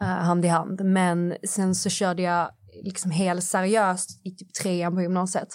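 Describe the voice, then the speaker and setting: Speaking very slowly, a woman with a medium-pitched voice keeps a flat, monotone intonation while her loudness swings widely. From southern Sweden, Skåne. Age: 20s. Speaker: influencer. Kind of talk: casual interview chat. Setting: studio.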